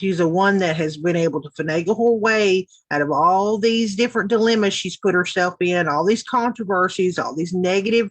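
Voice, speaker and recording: Speaking in a Southern US accent, a woman uses an animated tone at a moderate pace, with medium pitch and ordinary pitch variation. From US South (Tennessee). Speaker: YouTube commentator. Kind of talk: reaction commentary.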